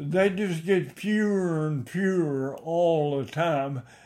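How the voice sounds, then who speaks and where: This voice has a strong Ozarks accent, lively intonation and a dark, mellow tone. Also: man. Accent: Ozarks rural Southern, strong. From Missouri Ozarks. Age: 80s+. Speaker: oral history interviewee, retired farmer. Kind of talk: oral history interview, reminiscing.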